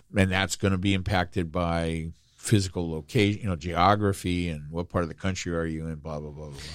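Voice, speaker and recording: In a very clean recording with a silent background, a man with a very deep, low voice talks at a fairly quick pace with fairly even intonation. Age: 60s. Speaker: podcast co-host. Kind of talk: casual chat. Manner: jokey.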